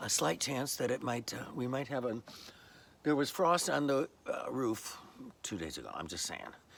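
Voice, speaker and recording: Noticeable background noise sits under the recording. A man with a medium pitch talks at a moderate pace with lively intonation. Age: old. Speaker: vlogger. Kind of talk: casual vlog monologue. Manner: hesitant, many fillers.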